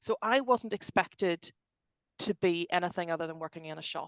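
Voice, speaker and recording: With a Belfast accent, a woman talks at a medium pitch and ordinary pitch variation, the sound dry and close with no echo over a quiet background. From Northern Ireland, Belfast. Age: 40s. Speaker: tech company director. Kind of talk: podcast interview. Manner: animated.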